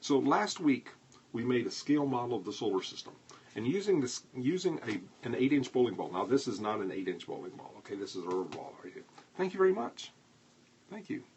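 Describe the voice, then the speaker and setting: A man at medium pitch with very wide pitch swings, big swings in loudness and a fairly quick pace. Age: 70s. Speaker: astronomy educator, livestream host. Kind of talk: live-streamed lecture with viewer chat. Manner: conversational.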